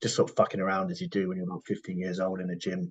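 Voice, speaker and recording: A man with a British accent talks with lively intonation. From UK. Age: 40s. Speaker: professional bodybuilder. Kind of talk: podcast interview.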